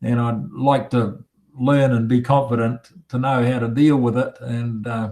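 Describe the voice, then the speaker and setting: A man with a New Zealand accent, medium in pitch and dark and mellow in tone, at a fairly slow pace with monotone, flat intonation. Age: 70s. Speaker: retired mechanic, meetup attendee. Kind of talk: casual chat. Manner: halting.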